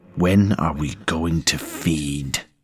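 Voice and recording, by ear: A man puts on a character voice, pitched extremely low with a slightly husky edge, speaking slowly with ordinary pitch variation.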